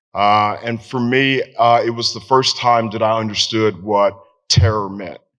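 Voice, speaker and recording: A man with a medium pitch speaks with a Southern US accent. His pace is moderate and his intonation fairly even. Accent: Southern American. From Tennessee. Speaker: veteran. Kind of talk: storytelling. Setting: stage with audience.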